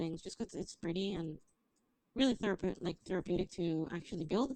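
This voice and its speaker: Speaking at a fairly quick pace, a woman with a medium-pitched voice uses lively intonation. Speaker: streamer. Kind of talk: gameplay livestream commentary. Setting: livestream. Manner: loud.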